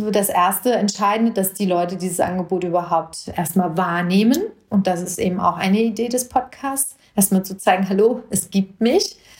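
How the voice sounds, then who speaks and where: Intonation holds fairly even. There's a somewhat breathy quality to the voice. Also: woman. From Germany, Hesse (Marburg Hinterland). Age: 40s. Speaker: judge and mayoral candidate podcaster. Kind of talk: personal monologue podcast.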